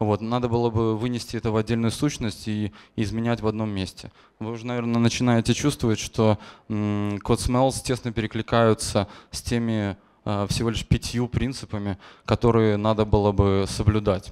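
A man talks at a moderate pace in a medium pitch. His intonation is monotone and flat, over a quiet background. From Belarus, Gomel; Belarus. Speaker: software engineer; conference speaker. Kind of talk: conference talk. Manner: hesitant, frequent filler sounds. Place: hall. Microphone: handheld.

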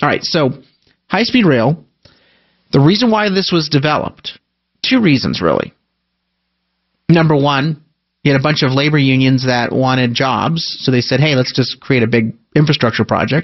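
The pace is moderate, broken by long, frequent pauses. The background is quiet. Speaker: talk radio host. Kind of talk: radio commentary. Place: studio.

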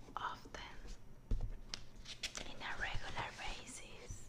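A woman's soft-spoken whisper at a very slow pace. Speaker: book reviewer. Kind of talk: casual vlog chat. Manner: soft ASMR whisper. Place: home room. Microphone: phone near.

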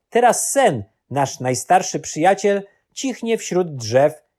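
A man at a very slow pace with very wide pitch swings, in a very clean recording with a silent background. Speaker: audiobook narrator. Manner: measured, solemn, storytelling pace.

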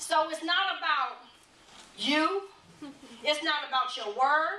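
Speaking at a very slow pace, a woman with a high voice projects it loudly, with audible echo from the room. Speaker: church elder, preacher / teacher. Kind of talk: sermon-style teaching. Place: church.

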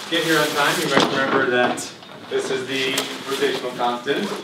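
Loud background noise and audible room echo fill the clip. Through it, a man speaks at a moderate pace. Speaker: lecturer. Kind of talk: lecture. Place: classroom. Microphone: camera far.

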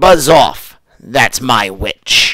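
A man's put-on character voice, growling, raspy, croaky and shrill. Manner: gruff, blustering.

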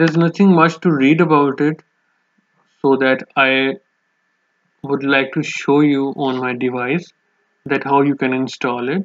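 A man speaks at a medium pitch and a fairly slow pace, with little pitch movement. Long, frequent pauses break up his speech, and the sound is dry and close with no echo.

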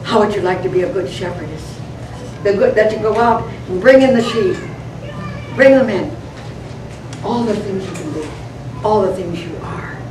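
A woman's voice at a moderate pace over noticeable background noise. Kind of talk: inspirational talk. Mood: warm, fervent, prayerful. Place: hall. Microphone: camera far.

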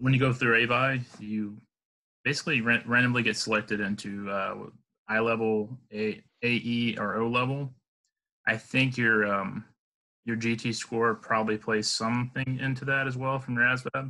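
A man's bright, sharp, flat monotone at a moderate pace, over a quiet background. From Alabama, US South. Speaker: Marine Corps veteran. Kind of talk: casual interview chat. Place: home room. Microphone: video call.

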